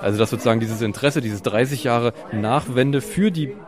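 Noticeable background noise sits behind a man speaking very fast. His medium pitch moves with ordinary variation. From East Germany. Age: 30s. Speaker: architect and photographer. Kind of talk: interview. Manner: hesitant, repeats words.

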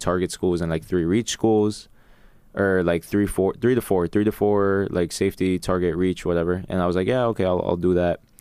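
A man with a New York accent speaks at a fairly quick pace in a very deep, low voice, keeping his intonation fairly even. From New York City, Queens. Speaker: college athlete. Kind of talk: casual chat.

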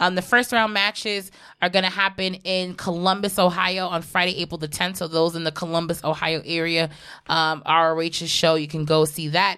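A woman speaks fairly quickly in a bright, sharp tone with fairly even intonation. The recording is very clean, with a silent background. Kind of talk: casual chat. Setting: live-streamed podcast.

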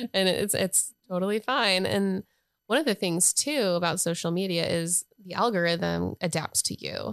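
A woman with an American accent and a plain, everyday voice, medium pitch, ordinary pitch variation and a moderate pace, in a dry, close sound with no echo. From North Carolina. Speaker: social media agency owner. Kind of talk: casual interview chat.

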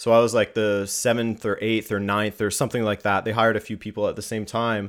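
A man with a Canadian accent, medium pitch, a normal speaking voice and a moderate pace. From Canada. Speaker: YouTube soccer content creator. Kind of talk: casual interview chat. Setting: remote call from West Coast.

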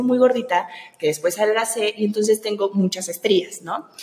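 A woman with a fairly high pitch and ordinary pitch variation speaks at a moderate pace while noticeable background noise plays. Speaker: podcast host. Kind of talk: casual interview.

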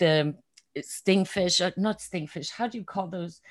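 A woman with a German accent, a fairly low pitch and ordinary pitch variation at a moderate pace, on a very clean recording with a silent background. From Germany. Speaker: excellence coach and artist. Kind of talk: interview.

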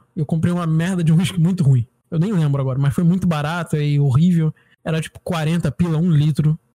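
Fairly quick and fairly even in intonation, a man speaks at a fairly high pitch in a dark, mellow tone. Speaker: podcast co-host. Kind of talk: casual chat.

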